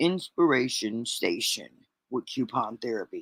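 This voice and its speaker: A woman speaks at a moderate pace in a put-on character voice. Her pitch is very deep and low. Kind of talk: showy, announcer-like.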